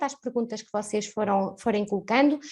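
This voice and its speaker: A woman speaks with a European Portuguese accent. She talks at a fairly quick pace with ordinary pitch variation. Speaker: webinar host, marketing staff. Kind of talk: webinar moderation. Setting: live online webinar.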